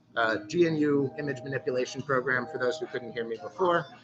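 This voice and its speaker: A man speaks at a fairly quick pace in a fairly high pitch. Music plays in the background. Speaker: stencil artist teaching a workshop. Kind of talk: tutorial. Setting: live-streamed workshop in a store. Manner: loud.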